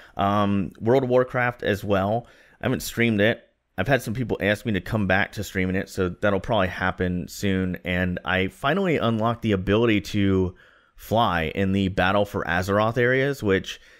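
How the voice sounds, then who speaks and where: A man at a moderate pace, fairly low in pitch, with ordinary pitch variation against a quiet background. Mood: relaxed, upbeat. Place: home room. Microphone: studio mic.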